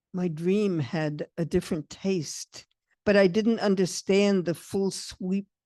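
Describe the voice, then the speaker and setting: A woman talks at a very slow pace in a fairly low pitch, with a dark, mellow tone and ordinary pitch variation. The sound is dry and close with no echo, over a quiet background. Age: 80s+. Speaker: poet. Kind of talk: poetry reading.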